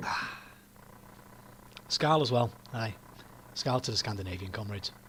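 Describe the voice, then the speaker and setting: This man has a medium-pitched voice with a Yorkshire accent. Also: ordinary pitch variation, moderate pace. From northern England, Yorkshire. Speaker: political commentator streamer. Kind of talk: casual livestream chat. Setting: livestream with webcam.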